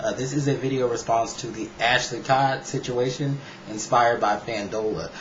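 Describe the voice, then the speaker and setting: A man with an American accent speaks with fairly even intonation. Audible room echo and noticeable background noise are present. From United States. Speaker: YouTube vlogger. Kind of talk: casual vlog commentary. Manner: fast.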